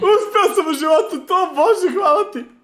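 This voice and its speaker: A man speaks with a Serbian accent in an excited tone. His pitch is extremely high. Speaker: streamer. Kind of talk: live stream. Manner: excited shouting.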